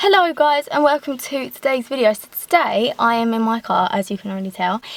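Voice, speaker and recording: Speaking fairly quickly with an English accent, a woman uses lively intonation at a fairly high pitch over noticeable background noise. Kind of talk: casual talk to camera while driving. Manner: fast; chatty.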